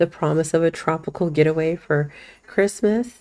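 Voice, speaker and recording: Speaking with ordinary pitch variation, a woman has a fairly low voice with a dark, mellow tone. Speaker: web developer and marketer. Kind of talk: screen-share tutorial. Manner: casual, filler-heavy; self-described as not fast.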